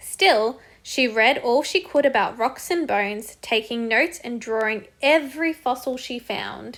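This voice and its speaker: A high-pitched woman with an Australian accent at a moderate pace, lively intonation, in a very clean recording with a silent background. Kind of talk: children's picture book read-aloud.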